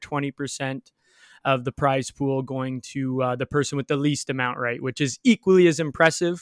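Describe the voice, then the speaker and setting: In a very clean recording with a silent background and dry, close sound with no echo, a man with a plain, everyday voice and fairly high pitch speaks at a fairly quick pace with fairly even intonation. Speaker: podcast host. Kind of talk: casual banter about football and betting. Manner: talkative, casual.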